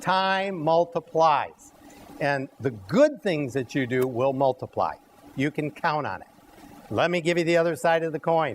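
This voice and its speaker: This is an ordinary speaking voice from a man with fairly high pitch. He speaks at a fairly slow pace with ordinary pitch variation. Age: 60s. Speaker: cooking show host. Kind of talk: live cooking demonstration. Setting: health center dining room with audience.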